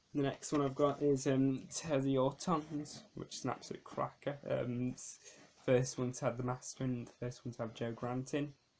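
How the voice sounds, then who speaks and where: A man speaks at a moderate pace with a medium pitch. His intonation stays monotone and flat. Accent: British. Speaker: DVD collector vlogger. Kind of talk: casual video review. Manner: hesitant with frequent ums.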